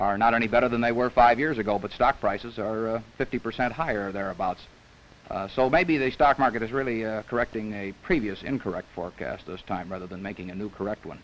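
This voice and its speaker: A man's voice with big swings in loudness and ordinary pitch variation, over light background noise. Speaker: interviewee. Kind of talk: interview answer. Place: studio. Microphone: old recording.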